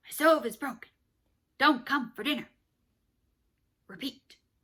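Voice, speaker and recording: A woman puts on a character voice, pitched high. She keeps a moderate pace. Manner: slow.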